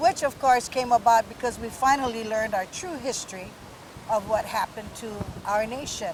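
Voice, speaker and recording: A woman's fairly high voice at a fairly quick pace, big swings in loudness, and noticeable background noise. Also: ordinary pitch variation. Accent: Hawaiian. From Hawaii, Kauai. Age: 60s. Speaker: Hawaiian rights activist. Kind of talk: interview. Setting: outdoors.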